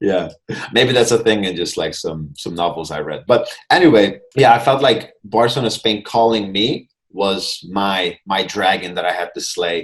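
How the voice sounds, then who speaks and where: A man with a Hungarian accent, fairly low in pitch, with lively intonation at a moderate pace. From Hungary, Budapest. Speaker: mindfulness coach. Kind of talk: interview.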